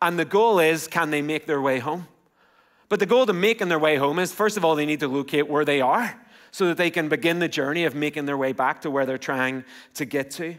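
The voice, in an Irish accent, moves at a fairly quick pace with ordinary pitch variation against a quiet background. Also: man, fairly high pitch for a man. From Ireland. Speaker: pastor. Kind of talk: sermon. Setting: church. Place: church. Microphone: headset.

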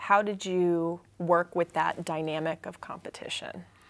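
A woman's a plain, everyday voice, fairly low in pitch, fairly even in intonation, at a fairly slow pace. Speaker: oral historian interviewer. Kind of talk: interview. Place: studio.

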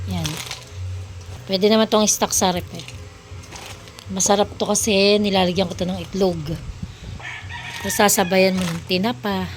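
A woman speaks at a moderate pace and medium pitch, with fairly even intonation and long, frequent pauses. Noticeable background noise runs underneath. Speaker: cooking vlogger. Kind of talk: tutorial. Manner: casual.

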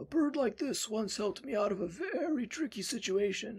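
In a put-on character voice, a man speaks at a moderate pace, high-pitched and raspy, with lively intonation. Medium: voice reel. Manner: warm, gently playful.

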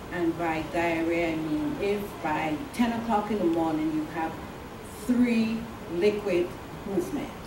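A woman's fairly low voice at a fairly slow pace, with lively intonation, long and frequent pauses, and noticeable background noise. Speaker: oncology nurse. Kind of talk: educational talk with audience Q&A. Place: meeting room. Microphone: camera far.

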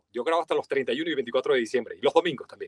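With a Venezuelan accent, a man speaks in a dry sound with no echo and a quiet background. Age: 40s. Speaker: voice-over artist. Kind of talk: interview. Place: studio. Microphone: studio mic.

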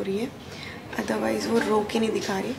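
At a moderate pace, a woman speaks over noticeable background noise. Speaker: new mother vlogger. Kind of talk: casual vlog chat. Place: home room. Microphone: phone near.

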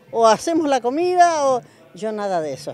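Over music in the background, a woman speaks with very wide pitch swings. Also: dry sound with no echo. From General Alvear, Mendoza, Argentina. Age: 70s. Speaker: senior sapo player. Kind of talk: interview answer. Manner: cheerful, chatty. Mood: proud, cheerful. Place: hall. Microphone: handheld.

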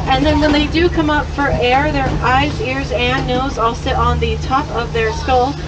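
A woman at a moderate pace amid noticeable background noise. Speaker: safari tour guide driver. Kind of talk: tour guide narration. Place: car.

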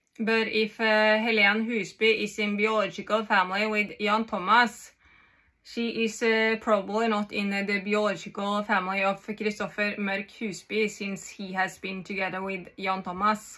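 In a quiet background, a woman with a Norwegian accent speaks at a moderate pace, her bright, sharp tone held in monotone, flat intonation. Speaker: vlogger. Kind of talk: monologue to camera. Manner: halting. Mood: agitated, intense. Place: home room. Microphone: phone near.

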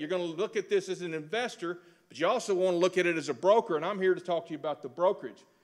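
A man with a Texan accent talks fairly quickly, with ordinary pitch variation, against a quiet background. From Texas. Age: 60s. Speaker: real estate instructor. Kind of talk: lecture. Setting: stage with audience. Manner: folksy. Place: hall. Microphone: podium.

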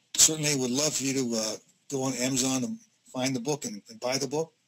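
The intonation stays fairly even, with noticeable background noise behind the voice. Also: man. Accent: American. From US Midwest, Northeast Ohio (Youngstown area); Ohio. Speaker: business consultant, former HR executive; presenter. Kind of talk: webinar presentation. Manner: hesitant, many fillers. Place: home room.

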